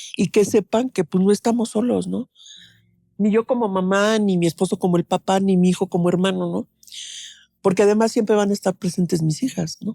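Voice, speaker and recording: A woman's dark, mellow tone at a fairly quick pace, in a dry, close sound with no echo and a very clean recording over a silent background. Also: medium pitch for a woman. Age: 70s. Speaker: bereaved mother. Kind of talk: interview testimony. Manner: conversational, many fillers.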